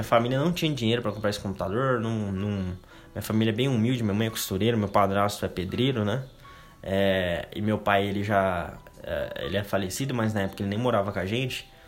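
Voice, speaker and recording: The man's pitch varies in an ordinary way as he talks at a very fast pace over noticeable background noise. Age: 20s. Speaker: podcast host. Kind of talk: casual monologue. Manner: casual, filler-heavy.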